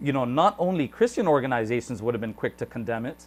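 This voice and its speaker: The pace is very fast. Intonation stays lively throughout. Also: man. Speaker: YouTube interviewer. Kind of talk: interview question, conversational.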